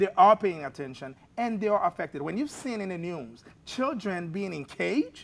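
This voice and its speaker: Speaking with a non-native accent, a man uses a high pitch with very wide pitch swings. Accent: foreign. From abroad, immigrant to the US. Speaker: therapist. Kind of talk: political talk show panel discussion.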